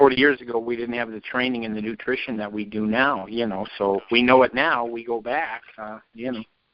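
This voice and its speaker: An unremarkable speaking voice moves at a fairly quick pace with hardly any pauses, fairly even intonation and big swings in loudness. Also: man, medium pitch for a man. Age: 60s. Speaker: caller. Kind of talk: call-in question.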